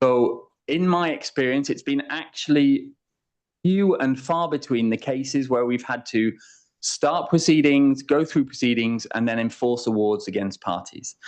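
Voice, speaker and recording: A man with an English accent speaks at a moderate pace in a fairly high pitch. His pitch varies in an ordinary way, over a quiet background. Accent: English accent, remarked on as own. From England. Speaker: international arbitration lawyer. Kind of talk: conference talk.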